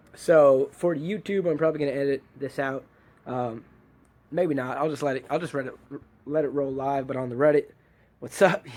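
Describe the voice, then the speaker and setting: A man with a fairly high pitch speaks at a moderate pace. His intonation stays fairly even, broken by long, frequent pauses. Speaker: DIY video maker. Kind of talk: casual livestream talk.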